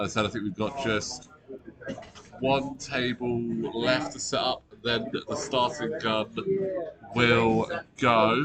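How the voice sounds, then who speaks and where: Quiet and medium-pitched with ordinary variation, a man speaks over noticeable background noise. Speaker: tournament commentator. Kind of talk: live commentary. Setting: convention hall with players nearby. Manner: casual, conversational; kept quiet to avoid distracting players.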